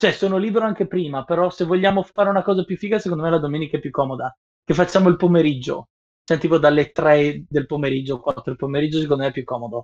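Dry and close with no echo, a man talks at a very fast pace. His pitch is fairly high and varies in an ordinary way. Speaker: professional sound engineer. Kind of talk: casual chat. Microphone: Bluetooth earphones, sounding quiet.

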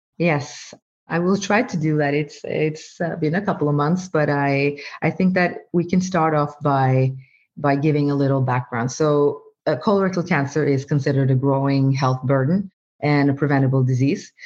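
In a Norwegian accent, a woman with a very deep, low pitch speaks at a moderate pace with ordinary pitch variation and very even loudness against a quiet background. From Norway. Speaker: medical doctor and AI researcher. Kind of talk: interview.

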